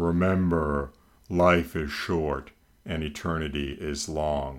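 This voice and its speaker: A man uses a put-on character voice, booming and very deep, with a solemn tone. He speaks at a fairly slow pace with monotone, flat intonation. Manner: solemn, resonant.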